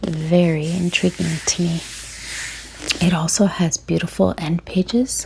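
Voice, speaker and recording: Against noticeable background noise, a soft-spoken woman with a fairly low pitch talks at a very slow pace with long, frequent pauses. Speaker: book content creator. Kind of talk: ASMR book unboxing.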